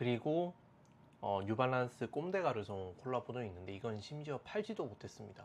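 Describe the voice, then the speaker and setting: A relaxed male voice of medium pitch with very wide pitch swings. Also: moderate pace. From South Korea, Daegu. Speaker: fashion and sneaker YouTuber. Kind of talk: casual monologue to camera. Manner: relaxed with frequent fillers.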